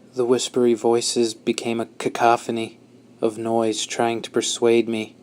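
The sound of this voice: The reading voice heard here is unforced.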